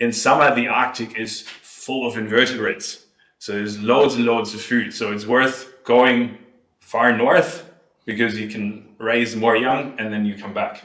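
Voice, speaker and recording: Someone with a German accent speaks at a moderate pace, the intonation fairly even. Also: man. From Germany. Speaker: ornithologist researcher. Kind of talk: lecture.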